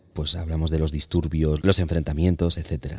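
Recorded very cleanly against a silent background, a man talks at a moderate pace with a dark, mellow tone. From Barcelona. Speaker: podcast host. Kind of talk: interview.

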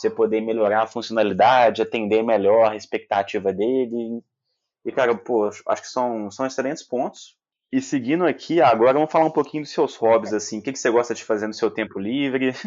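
At a fairly quick pace, a man talks in a medium pitch. His pitch varies in an ordinary way. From Minas Gerais, Brazil. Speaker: podcast host and company founder. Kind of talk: casual interview.

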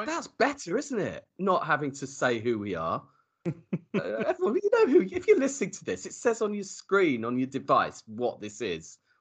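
A man's loudness shows big swings. He keeps a moderate pace. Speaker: podcast host. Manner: jokey, chatty.

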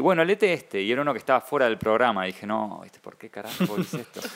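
Delivered at a very fast pace with hardly any pauses, the speech has very wide pitch swings and big swings in loudness against noticeable background noise. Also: man. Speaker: comic artist and writer. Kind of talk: casual interview.

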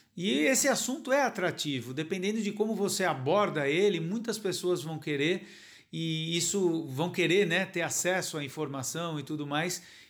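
With audible room echo, a man talks at a moderate pace in a high pitch with lively intonation. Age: 40s. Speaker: novelist. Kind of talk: interview. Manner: hesitant, many fillers.

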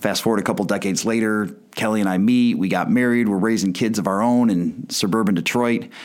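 A man with an American accent speaks at a moderate pace in a fairly low pitch, with ordinary pitch variation and an unremarkable speaking voice. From US Midwest, Chicago suburbs. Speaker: podcast host. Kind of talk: podcast monologue.

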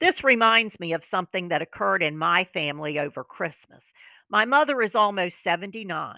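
A woman with a bright, sharp tone and medium pitch speaks at a fairly quick pace with lively intonation, the sound dry and close with no echo in a very clean recording with a silent background. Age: 50s. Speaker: podcast host on healthy aging. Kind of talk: scripted monologue.

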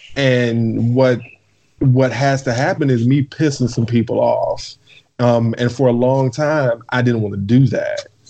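A plain, everyday voice from a man, medium in pitch, fairly slow, with fairly even intonation. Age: 30s. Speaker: podcast guest. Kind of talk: casual chat.

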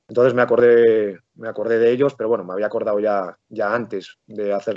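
Using a plain, everyday voice, a man of fairly low pitch speaks at a fairly quick pace with fairly even intonation. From Spain, Palencia (Castile and León). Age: 40s. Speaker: football coach. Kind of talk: interview.

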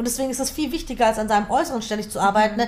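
Her pitch is fairly high. This woman talks at a very fast pace. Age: 20s. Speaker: author and speaker. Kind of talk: interview.

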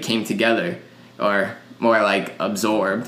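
Audible room echo hangs on the man's voice. He talks at a fairly slow pace. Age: 20s. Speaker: podcast co-host. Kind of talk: casual chat. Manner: animated.

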